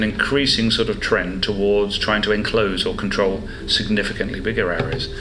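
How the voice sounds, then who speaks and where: Over music in the background, a man with an English Midlands accent talks in a fairly low pitch, and the room echo is audible. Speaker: marine biologist. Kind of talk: interview. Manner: hesitant, with fillers.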